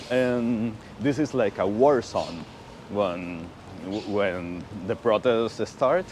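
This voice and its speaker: A man with a Spanish accent, over noticeable background noise. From Venezuela. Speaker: motorcycle rider and viewer of the channel. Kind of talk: casual chat. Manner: hesitant, with repeated words.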